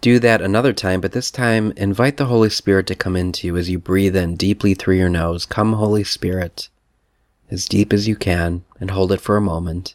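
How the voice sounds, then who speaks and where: The man has a plain, everyday voice and fairly even intonation, recorded very cleanly over a silent background with a dry, close sound and no echo. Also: fairly low pitch for a man. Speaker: priest leading retreat. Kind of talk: guided meditation. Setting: recorded message for women's retreat. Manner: slow, calm, soothing; gentle, with long pauses.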